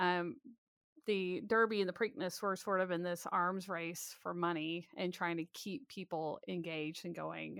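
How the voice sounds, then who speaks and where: In a quiet background with a dry, close sound and no echo, a woman with an American accent uses a normal speaking voice. Her pitch is fairly low and her intonation fairly even. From US South, Alabama. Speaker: author and historian. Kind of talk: interview.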